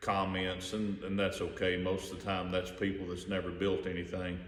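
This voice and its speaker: Very deep and low, a man's voice with an American accent carries a relaxed tone over noticeable background noise and audible room echo. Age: 50s. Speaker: hobbyist car builder. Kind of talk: casual video walkaround. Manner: relaxed, with many fillers.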